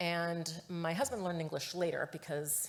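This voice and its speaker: Her pitch sits very deep and low. Audible room echo hangs around this woman's speech. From Chicago, US Midwest (Mexican-American family). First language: Spanish. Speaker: research executive. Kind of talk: conference talk.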